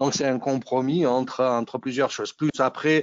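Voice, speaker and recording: A man with a Nice accent speaks in fairly even intonation, his voice dry with no echo against a quiet background. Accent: southern French (Nice), noticeable. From Nice, southeast France. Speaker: technical presenter, engineer. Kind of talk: technical webinar presentation. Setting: video call webinar.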